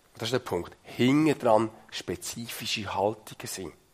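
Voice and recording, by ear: A man's fairly low voice with a slightly husky edge, fairly slow, with ordinary pitch variation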